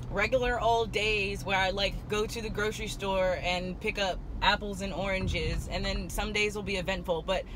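At a moderate pace with hardly any pauses, a woman speaks in a monotone, flat intonation, her voice dry with no echo against noticeable background noise. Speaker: vlogger. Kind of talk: casual vlog chat. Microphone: phone near.

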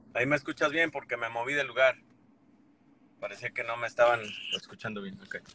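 A man talks at a very fast pace in a medium pitch, broken by long, frequent pauses. The sound is dry and close, with no echo. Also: ordinary pitch variation. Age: 40s. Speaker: YouTuber. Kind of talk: casual chat.

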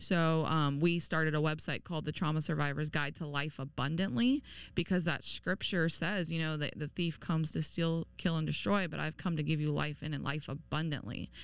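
A woman speaks at a very deep, low pitch with vocal fry and fairly even intonation. Her fairly quick pace comes through in a dry sound with no echo. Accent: American. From Tampa, Florida; Florida. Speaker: abuse and homelessness survivor, trauma advocate; podcast guest. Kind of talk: testimony. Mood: earnest, reflective. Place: studio. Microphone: studio mic.

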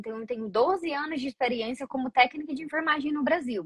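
A woman with a high pitch and ordinary pitch variation is heard in a dry sound with no echo against a quiet background. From Brazil. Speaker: nurse. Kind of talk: interview. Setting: online video call. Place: home room. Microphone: video call.

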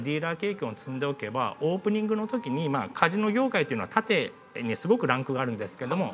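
The speaker moves at a fairly quick pace with very wide pitch swings over light background noise. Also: man. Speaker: casino school instructor. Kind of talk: interview answer. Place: classroom.

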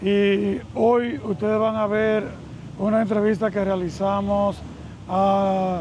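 A man speaks at a high pitch in a monotone, flat intonation and at a very slow pace. The sound is dry with no echo, with light background noise. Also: very even loudness. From Dominican Republic. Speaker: video channel host. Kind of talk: interview. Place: waterside. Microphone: lapel.

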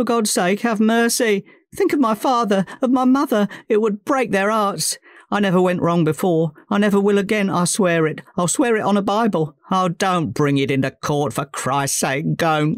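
A shaky, put-on character voice at a moderate pace on a very clean recording with a silent background. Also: man, high pitch for a man. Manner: nervous, pleading.

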